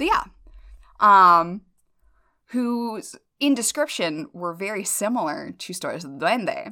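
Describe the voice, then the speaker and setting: With a slight Southern US accent, a woman speaks at a very slow pace and a fairly high pitch, her bright, sharp tone marked by very wide pitch swings, big swings in loudness and long, frequent pauses. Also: very clean recording, silent background. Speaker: podcast host. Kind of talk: casual chat. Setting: in person, sharing one mic.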